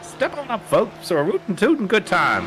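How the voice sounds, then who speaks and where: Someone puts on a character voice with a fairly high pitch. Clear background noise runs underneath. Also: moderate pace. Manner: hyped, showman-like.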